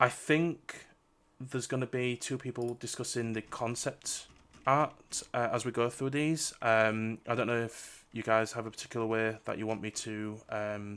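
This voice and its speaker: A man talks at a moderate pace. His medium pitch holds fairly even intonation. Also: very clean recording, silent background. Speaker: streamer interviewing game developers. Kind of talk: live stream chat. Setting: live stream. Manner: loud.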